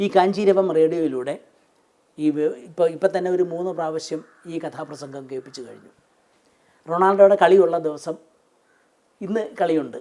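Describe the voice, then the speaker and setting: A man speaks with a high pitch and a dark, mellow tone. His pitch varies in an ordinary way while his loudness swings widely. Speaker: former radio broadcaster. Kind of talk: interview answer.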